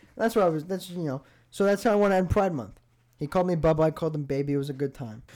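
Animated and very fast, a man speaks with an American accent. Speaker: podcast host. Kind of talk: casual chat. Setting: studio.

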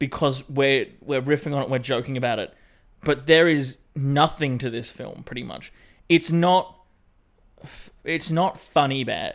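With an Australian accent, a man at fairly high pitch speaks at a fairly slow pace with fairly even intonation, big swings in loudness, and long, frequent pauses, all in a very clean recording with a silent background. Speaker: podcast co-host. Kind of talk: casual chat.

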